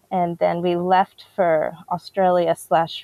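In an American accent, a woman speaks very slowly at a fairly low pitch, her dark, mellow tone flat and monotone in a dry, close sound with no echo. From DR Congo and US. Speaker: missionary and author. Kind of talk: interview testimony.

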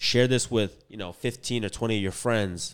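A man talks at a moderate pace. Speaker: business podcast host, real estate broker. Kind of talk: podcast outro call to action; casual chat. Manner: casual, slangy.

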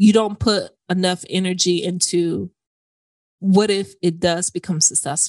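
In an ordinary speaking voice, a woman talks at a fairly slow pace and medium pitch with fairly even intonation. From Florida, US. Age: 30s. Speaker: personal finance podcaster. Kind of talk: interview conversation.

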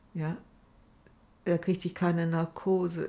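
Recorded very cleanly against a silent background, a woman speaks at a medium pitch with monotone, flat intonation. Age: 70s. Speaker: cancer patient. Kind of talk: interview.

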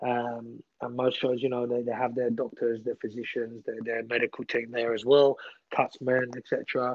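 At a moderate pace, a man speaks in a flat monotone. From England, with childhood in Iran. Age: 30s. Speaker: combat sports referee. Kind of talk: casual interview.

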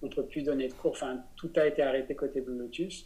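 A man's fairly high voice with a dark, mellow tone, fairly even intonation and a moderate pace. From France, Besançon. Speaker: business coach and plant-based cooking school director. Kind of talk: interview conversation.

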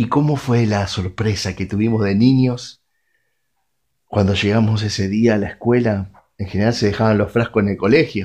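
A man with a Rioplatense accent talks at a moderate pace in a fairly low pitch. His intonation stays fairly even against a quiet background. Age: 40s. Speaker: radio preacher. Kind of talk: sermon.

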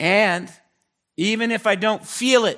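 A raised, projected male voice with a high pitch. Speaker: pastor. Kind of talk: sermon. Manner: animated.

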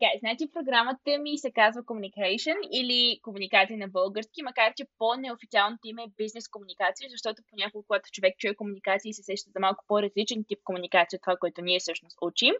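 A woman speaks at a very fast pace with hardly any pauses. Her fairly high pitch shows ordinary variation, while her loudness swings widely. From Bulgaria, Stara Zagora. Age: 20s. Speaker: final-year university student. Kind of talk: interview. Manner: halting, many filler sounds.

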